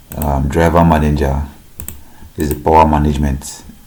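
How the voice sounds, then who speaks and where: A man talks at a fairly quick pace in a very deep, low pitch with monotone, flat intonation, amid noticeable background noise and audible room echo. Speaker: tech youtuber. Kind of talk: tutorial.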